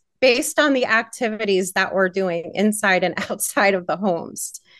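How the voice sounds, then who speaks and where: A woman's plain, everyday voice, fairly slow with lively intonation, against a quiet background. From Pittsburgh, Pennsylvania. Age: 40s. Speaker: cannabis retreat founder. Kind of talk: interview.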